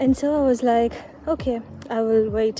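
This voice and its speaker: With music in the background, a woman talks at a moderate pace in a fairly high pitch with fairly even intonation. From Sri Lanka, Tamil background. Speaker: vlogger. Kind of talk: casual vlog monologue. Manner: halting, with fillers and repetitions.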